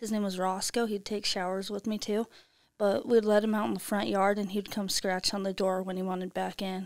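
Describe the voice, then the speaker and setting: A woman's monotone, flat delivery at a fairly quick pace. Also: quiet background. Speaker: podcast co-host. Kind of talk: casual chat. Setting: studio. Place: studio. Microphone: studio mic.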